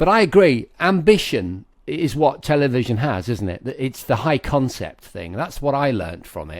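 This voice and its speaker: On a very clean recording with a silent background, a man speaks at a moderate pace with hardly any pauses, his medium-pitched voice showing vocal fry. His pitch swings very widely and his loudness varies greatly. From Lincolnshire, England. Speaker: tech TV presenter and podcast host. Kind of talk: casual chat.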